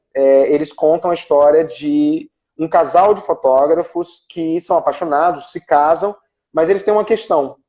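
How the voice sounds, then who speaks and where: A man's dark, mellow voice with lively intonation at a moderate pace. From Brazil, Ceará. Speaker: actor and screenwriter. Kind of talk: interview on a live stream. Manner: halting, many fillers and repetitions.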